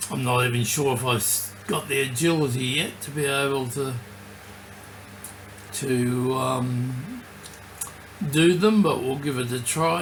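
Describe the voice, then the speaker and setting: Over noticeable background noise, a man with a fairly high pitch talks at a very slow pace with ordinary pitch variation. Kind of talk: casual talk to camera. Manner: slight slurring.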